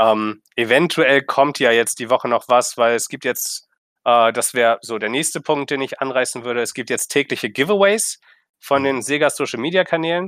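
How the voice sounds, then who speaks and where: Recorded very cleanly against a silent background, with a dry, close sound and no echo, a man speaks at a moderate pace in a medium pitch with ordinary pitch variation. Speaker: video game podcast host. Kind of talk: casual chat.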